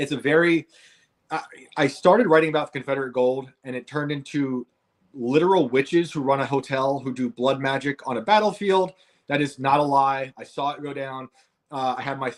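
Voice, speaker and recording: With a northern US accent, a man talks at a fairly quick pace in a fairly high voice. His intonation is fairly even. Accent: northern US (Yankee). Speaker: author and podcast host. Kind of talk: interview. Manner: halting, with fillers.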